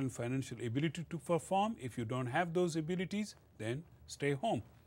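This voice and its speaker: A somewhat breathy voice with a Pashto accent. It moves at a fairly quick pace with lively intonation. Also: man. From northwest Pakistan, Pashtun area. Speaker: college lecturer. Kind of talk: lecture. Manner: hesitant, filler-heavy.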